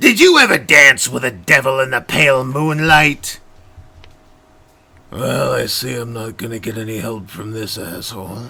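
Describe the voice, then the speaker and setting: A man puts on a raspy character voice. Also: medium pitch for a man, moderate pace. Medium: solo performance. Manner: scheming, impatient.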